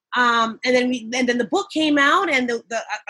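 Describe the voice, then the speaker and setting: Here a woman speaks in a New York accent with a high pitch and a bright, sharp tone. Her pace is moderate, and her pitch varies in an ordinary way. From Long Island, New York, of Jamaican parents. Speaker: nurse and event emcee. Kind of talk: casual interview. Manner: animated.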